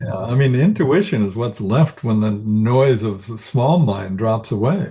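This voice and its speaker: A man with an unremarkable speaking voice talks at medium pitch and a moderate pace. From US Northwest. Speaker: executive coach, Marine veteran. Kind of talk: interview.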